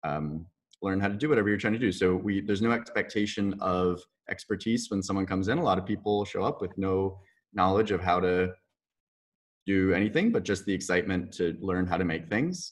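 With a quiet background, a man talks fairly quickly in a normal speaking voice, fairly low in pitch and with fairly even intonation. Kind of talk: interview answer. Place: workshop. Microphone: webcam.

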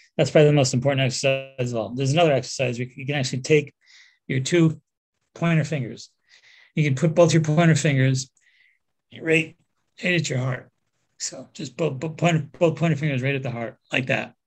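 A somewhat breathy man's voice, fairly high in pitch, fairly quick and fairly even in intonation, with long, frequent pauses. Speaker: nutritional therapist and energy healer. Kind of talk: guided meditation. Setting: interview.

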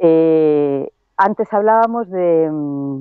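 A woman speaks with ordinary pitch variation. The sound is dry with no echo, and the background is quiet. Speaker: field reporter. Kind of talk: on-location report. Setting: outdoors, remote video link. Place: open country. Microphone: earbuds.

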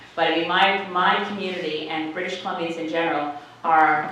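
Over light background noise and strong room echo, a woman speaks at a moderate pace. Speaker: politician addressing constituents. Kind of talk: town hall speech. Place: hall.

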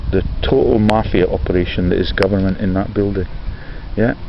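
Against noticeable background noise, a man talks at a moderate pace with fairly even intonation, the sound dry with no echo. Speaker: video blogger. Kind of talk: casual vlog commentary on images. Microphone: phone near.

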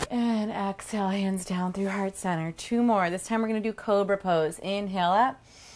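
This woman has an unremarkable speaking voice at a medium pitch. She keeps a moderate pace and fairly even intonation. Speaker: yoga instructor. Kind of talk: guided yoga class, instructing through poses. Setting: home studio, online video.

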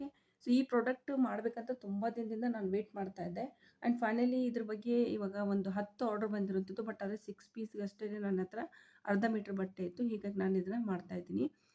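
Fairly even intonation from a woman at medium pitch, her tone dark and mellow. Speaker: tailoring and small-business YouTuber. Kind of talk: tutorial.

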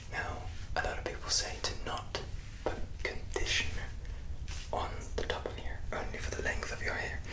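A man at a moderate pace, long, frequent pauses, loud background noise. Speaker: ASMR creator. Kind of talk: casual vlog chat. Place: bathroom. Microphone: phone near.

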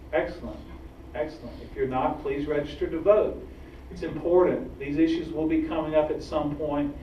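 A man speaks with an American accent. Light background noise and audible room echo surround him. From Georgia, US. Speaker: activist group director; guest. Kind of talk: public talk. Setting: stage with audience. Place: hall. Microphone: camera far.

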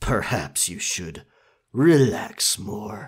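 On a very clean recording with a silent background, a man speaks at a very slow pace in a put-on character voice. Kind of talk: ASMR roleplay, pirate talk. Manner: determined, gruff, warm toward the listener.

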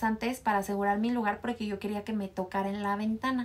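A woman at medium pitch, fast pace and fairly even intonation

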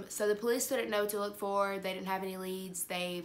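A woman speaks at a fairly quick pace with fairly even intonation. Light background noise can be heard. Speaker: true crime vlogger. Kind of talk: casual vlog chat. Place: home room. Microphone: phone near.

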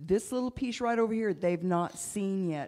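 This woman's tone is dark and mellow, with ordinary pitch variation. Behind her, all is quiet. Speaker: church leader. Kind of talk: sermon. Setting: church. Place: church. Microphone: handheld.

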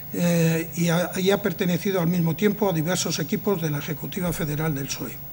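The speech comes at a very fast pace with fairly even intonation. Light background noise can be heard. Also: man. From Zamora, Spain. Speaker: event moderator. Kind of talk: formal introduction and moderation. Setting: stage with audience. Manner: halting. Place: hall. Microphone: podium.

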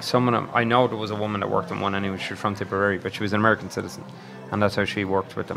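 In an Irish accent, a man talks at a very fast pace with fairly even intonation. Faint music plays in the background. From Ireland. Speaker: podcast co-host. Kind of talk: casual chat. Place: bar. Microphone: studio mic.

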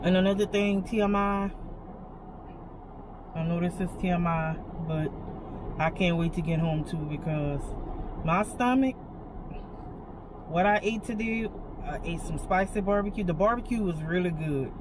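A woman speaks at a moderate pace with ordinary pitch variation and long, frequent pauses. There is noticeable background noise. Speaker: vlogger waiting for a grocery pickup. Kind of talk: casual vlog chat. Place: car. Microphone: phone near.

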